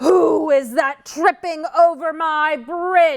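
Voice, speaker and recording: A bellowing, high-pitched put-on character voice at a very slow pace. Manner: roaring.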